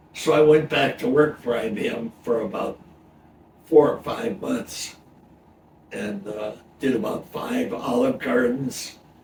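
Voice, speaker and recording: A man at a fairly slow pace with very wide pitch swings and long, frequent pauses, against noticeable background noise. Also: medium pitch for a man. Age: 90s. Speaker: retired computer technician. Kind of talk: casual interview.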